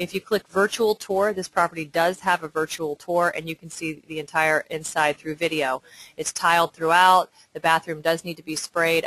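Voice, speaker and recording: A woman with a fairly low pitch is heard dry and close, with no echo. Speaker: real estate agent. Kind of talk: property showcase tutorial. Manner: fast.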